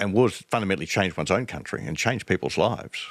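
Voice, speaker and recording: A man speaks with an Australian accent, a fairly low pitch and lively intonation. The recording is very clean, with a silent background. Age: 70s. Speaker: strategic studies professor. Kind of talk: interview conversation. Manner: halting, repeats words.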